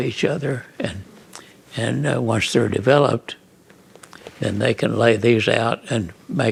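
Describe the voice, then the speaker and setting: This man has a medium pitch and an American accent. His intonation is lively. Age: 90s. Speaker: photographer. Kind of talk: interview answer. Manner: hesitant, halting.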